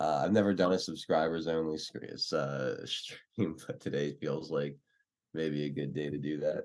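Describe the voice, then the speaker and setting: Quiet and fairly slow, a man speaks with an American accent. His very deep, low pitch stays fairly even in intonation. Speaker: livestream political talk show host. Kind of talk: casual livestream chat with viewers. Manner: talking quietly.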